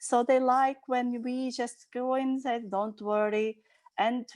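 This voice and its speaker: Against a quiet background, a woman with a non-native accent speaks at a fairly slow pace and a fairly high pitch. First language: Portuguese. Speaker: nanny. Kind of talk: video call group discussion. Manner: halting.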